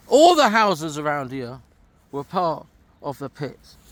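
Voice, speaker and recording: This is a man speaking. He has an East Midlands accent. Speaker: vlogger walking historic sites. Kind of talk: walking vlog narration. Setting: outdoors. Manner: casual, halting with repetitions.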